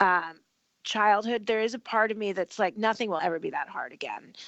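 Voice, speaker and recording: A woman with an unremarkable speaking voice, pitched fairly high, with ordinary variation in pitch. The sound is dry and close with no echo, and the background is quiet. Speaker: marketing executive. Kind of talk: interview.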